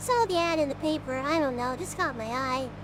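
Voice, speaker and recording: A put-on character voice moves at a fairly quick pace over loud background noise. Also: man, extremely high pitch for a man. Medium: virtual streamer. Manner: calm, reserved.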